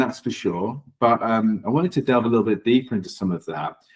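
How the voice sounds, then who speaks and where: A man is speaking. His pace is moderate. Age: 40s. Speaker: interviewer. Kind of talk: interview.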